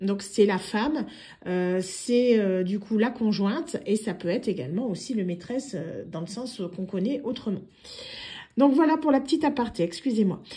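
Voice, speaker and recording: On a very clean recording with a silent background, a woman with a fairly high pitch and a dark, mellow, somewhat breathy tone speaks at a moderate pace with lively intonation. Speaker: tarot card reader. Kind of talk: tarot reading monologue. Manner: hesitant, many fillers.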